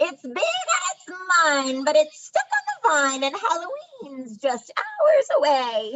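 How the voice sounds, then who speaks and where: A woman puts on a character voice at an extremely high pitch. She goes at a fairly slow pace with hardly any pauses. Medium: read story. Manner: huffy, impatient.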